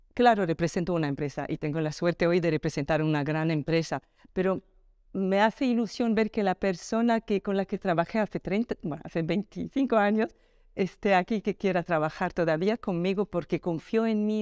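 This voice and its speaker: A woman's speech shows ordinary pitch variation, and the background is quiet. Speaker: telecom executive; interviewee. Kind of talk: interview. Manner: calm, unhurried. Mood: warm, earnest, reflective. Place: home room. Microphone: lapel.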